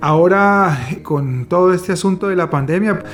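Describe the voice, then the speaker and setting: With music playing behind him, a man talks fairly slowly. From Colombia. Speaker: psychiatrist. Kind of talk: interview answer.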